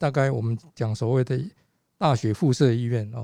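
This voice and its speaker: At a moderate pace, a somewhat breathy voice with a dark, mellow tone and ordinary pitch variation comes through on a very clean recording with a silent background. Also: man. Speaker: physician and patient safety advocate. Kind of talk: casual chat. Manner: halting.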